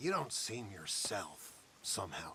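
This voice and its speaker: Using a put-on character voice, a man speaks at a medium pitch and a fairly slow pace. Background noise is clearly audible. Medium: video game.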